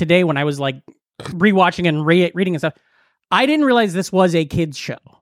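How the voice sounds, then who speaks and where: A man speaks at a high pitch with lively intonation and a fairly quick pace. The recording is very clean, with a silent background. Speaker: comedian. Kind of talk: casual chat.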